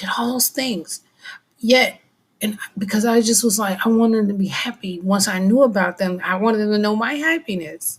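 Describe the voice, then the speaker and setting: Soft-spoken and somewhat breathy, a woman with a fairly high pitch talks at a fairly slow pace with lively intonation. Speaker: vlogger. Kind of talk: personal monologue. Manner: halting.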